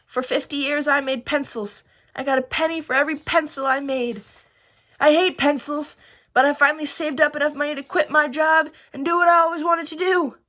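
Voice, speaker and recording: Putting on a character voice, a woman speaks high-pitched at a fairly quick pace with fairly even intonation. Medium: read story.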